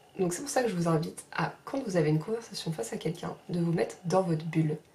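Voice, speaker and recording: A soft-spoken woman's medium-pitched voice with lively intonation. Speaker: sophrology trainee and vlogger. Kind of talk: advice vlog.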